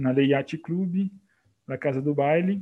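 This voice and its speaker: This man has an ordinary speaking voice at a fairly high pitch. He talks at a fairly slow pace, and his pitch varies in an ordinary way. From Brazil, Minas Gerais. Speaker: art historian and museum educator. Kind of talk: interview.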